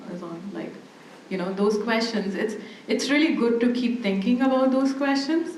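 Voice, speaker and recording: A woman with a non-native accent and ordinary pitch variation, amid noticeable background noise and audible room echo. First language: not English. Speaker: academic panelist. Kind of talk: panel discussion.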